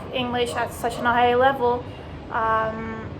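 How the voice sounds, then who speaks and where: A woman's high-pitched voice, fairly slow in pace, with noticeable background noise and audible room echo. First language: Dutch. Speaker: language teacher, vlogger. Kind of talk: casual vlog monologue. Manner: conversational with many fillers.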